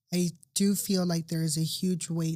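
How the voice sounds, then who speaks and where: A somewhat breathy voice in an American accent with monotone, flat intonation. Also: woman. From US West Coast, Los Angeles (Burbank). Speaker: patient sharing her surgery journey. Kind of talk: interview testimony.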